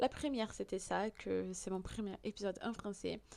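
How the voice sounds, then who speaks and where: A voice with a Portuguese accent in a very clean recording over a silent background. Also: woman. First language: Portuguese (speaking French). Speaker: podcast host. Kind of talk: podcast monologue. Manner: hesitant, many fillers.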